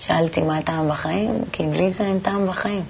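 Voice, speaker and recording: A woman's fairly low voice at a moderate pace, with ordinary pitch variation and noticeable background noise. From Tel Aviv, Israel. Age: 20s. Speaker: shop saleswoman, kabbalah student. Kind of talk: interview.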